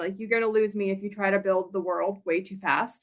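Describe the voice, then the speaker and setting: With an American accent, a woman is talking. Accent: Southern US accent, comes out in public. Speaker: indie author. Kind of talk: casual live interview. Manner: hesitant, many fillers.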